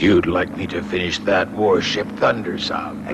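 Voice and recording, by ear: A man puts on a cartoonish character voice with very deep, low pitch at a moderate pace. Loud background noise fills the recording.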